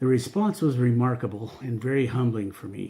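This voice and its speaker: A man speaks at a moderate pace and medium pitch, with ordinary pitch variation. His voice is somewhat breathy, with a dark, mellow tone. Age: 60s. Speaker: cancer patient. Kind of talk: reading aloud; testimony.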